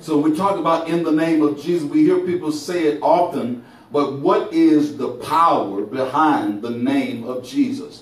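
Audible room echo surrounds a man's voice. He keeps a moderate pace with hardly any pauses. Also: lively intonation. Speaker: preacher. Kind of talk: sermon. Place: church.

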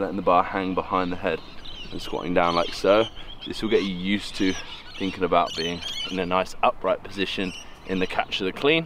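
The pace is fairly quick. Noticeable background noise sits behind the voice. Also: man, very deep, low pitch for a man, fairly even intonation, dry sound with no echo. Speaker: weightlifting coach. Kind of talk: tutorial. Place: open country. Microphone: camera far.

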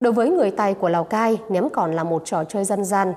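The tone is dark and mellow, with lively intonation. Delivery comes at a moderate pace. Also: woman. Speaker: TV news presenter. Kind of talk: news presentation. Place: studio. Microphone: lapel.

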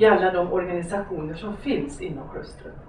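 A woman's voice with audible room echo and light background noise. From Hudiksvall, Sweden. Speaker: lecturer on gender equality. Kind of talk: lecture. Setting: lecture hall with audience. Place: stage.

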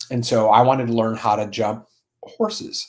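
A man talks at a fairly slow pace. His pitch is fairly low with little pitch movement.

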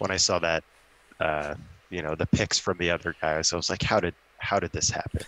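A man speaks in a very deep, low voice with a bright, sharp tone and a flat, monotone delivery. The pace is fairly quick, and the sound is dry with no echo. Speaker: tabletop wargame competitor and model maker. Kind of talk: casual chat. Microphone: video call.

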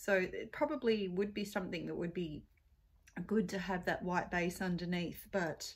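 A woman with an unremarkable speaking voice talks at a fairly low pitch. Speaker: beauty vlogger. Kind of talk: casual makeup tutorial chat. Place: home room. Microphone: phone near.

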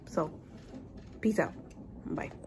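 The voice belongs to a woman. Behind her sits a light layer of noise. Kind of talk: casual vlog chat. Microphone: phone near.

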